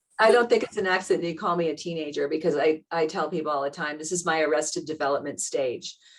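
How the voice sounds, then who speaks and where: A woman with a very deep, low voice and an American accent speaks at a very fast pace with hardly any pauses and ordinary pitch variation. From US Northeast, Boston area. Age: 60s. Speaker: teacher. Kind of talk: interview conversation.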